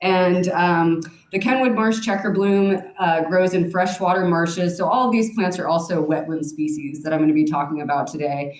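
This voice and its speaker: A woman with a fairly low pitch talks with hardly any pauses, her loudness very even and her pitch variation ordinary. Noticeable background noise and audible room echo sit in the recording. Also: moderate pace. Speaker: plant nursery manager. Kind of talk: lecture.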